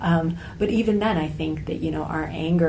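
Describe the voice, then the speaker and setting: A woman speaks with an American accent at a moderate pace. Noticeable background noise sits behind her. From United States. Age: 30s. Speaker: travel blogger and author. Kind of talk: interview conversation.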